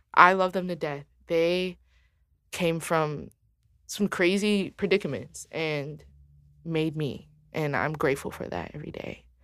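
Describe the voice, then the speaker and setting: In an American accent, a woman speaks with an animated tone at a fairly slow pace, with long, frequent pauses. Her pitch is fairly low with ordinary variation, and her loudness swings widely. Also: very clean recording, silent background. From Detroit, Michigan, US. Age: 20s. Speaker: singer-songwriter and producer. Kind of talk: casual chat.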